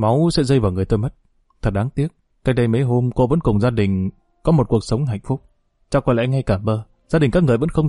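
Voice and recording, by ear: In a natural voice, someone reads aloud with a quiet background.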